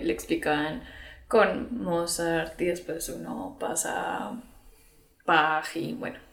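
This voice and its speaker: Audible room echo fills the space as a woman speaks with very wide pitch swings. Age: 20s. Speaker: singer and psychologist. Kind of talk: casual interview.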